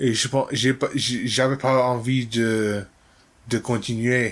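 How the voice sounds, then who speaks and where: A man at medium pitch speaks at a very slow pace. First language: not French (learner) (speaking French). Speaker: language learner vlogger. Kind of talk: casual monologue. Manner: halting.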